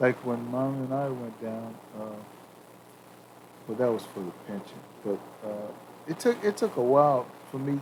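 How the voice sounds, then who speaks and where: A man at a moderate pace with long, frequent pauses, medium pitch and ordinary pitch variation, over noticeable background noise. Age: 60s. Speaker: retiree, father of the hosts. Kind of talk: casual chat. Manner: halting, many repetitions.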